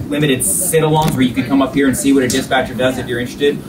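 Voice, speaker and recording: Clear background noise sits under the audio. The speaker is male. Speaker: police officer host. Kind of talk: interview hosting chat. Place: office. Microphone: camera far.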